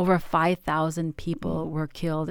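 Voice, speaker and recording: A woman with an American accent, fairly low in pitch and fairly quick in pace, on a very clean recording with a silent background. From Michigan, US. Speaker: pediatrician. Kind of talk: interview.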